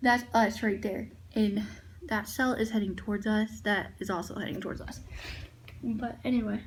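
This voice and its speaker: Quiet and somewhat breathy, the voice moves at a moderate pace with fairly even intonation and long, frequent pauses, with audible room echo. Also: woman, fairly high pitch for a woman. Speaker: vlogger. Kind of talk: casual vlog. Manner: hushed.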